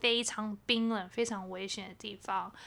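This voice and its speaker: Very clean recording, silent background; a woman with a fairly high pitch, fairly slow pace and monotone, flat intonation. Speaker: podcast co-host. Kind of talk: casual chat. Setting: home bedroom recording. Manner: subdued, low-energy delivery.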